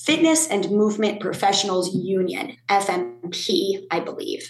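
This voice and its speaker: With audible room echo and noticeable background noise, a woman speaks at a moderate pace and a medium pitch. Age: 30s. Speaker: fitness instructor and union advocate. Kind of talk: interview.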